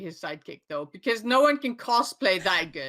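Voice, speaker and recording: In an Icelandic accent, this bright, sharp voice moves through very wide pitch swings. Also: woman. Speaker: podcast co-host. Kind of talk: casual chat.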